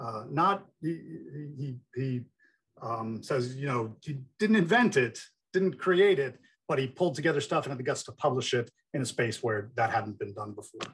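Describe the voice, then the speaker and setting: A man with an American accent speaks at a moderate pace in a somewhat breathy voice of medium pitch. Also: lively intonation. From New Jersey. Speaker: professor and game designer. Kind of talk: conference presentation. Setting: video call.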